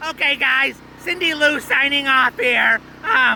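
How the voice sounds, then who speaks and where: With clear background noise behind him, a man puts on a cartoonish character voice at an extremely high pitch and a fairly slow pace. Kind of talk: mock live news report. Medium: puppet. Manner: hesitant, full of ums.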